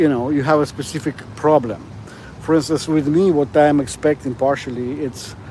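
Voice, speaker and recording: Speaking at a moderate pace, a man uses a fairly high pitch and fairly even intonation. Noticeable background noise is present. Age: 60s. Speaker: vlogger, security guard. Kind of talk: casual livestream monologue. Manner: halting, many fillers.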